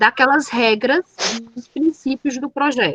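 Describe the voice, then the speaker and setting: A woman's high voice comes through with a dry, close sound and no echo. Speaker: teacher. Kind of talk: lecture.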